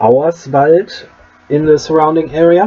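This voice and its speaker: A man speaks with a German accent. Noticeable background noise runs under his voice. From Germany. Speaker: game master. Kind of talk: pronunciation tutorial talk to camera. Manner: casual, hesitant.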